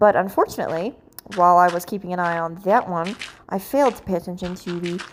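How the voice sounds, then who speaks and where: A quiet woman's voice, fairly low in pitch, with fairly even intonation. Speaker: gaming YouTuber. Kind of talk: gameplay commentary. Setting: at home, late at night. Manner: quiet, hushed.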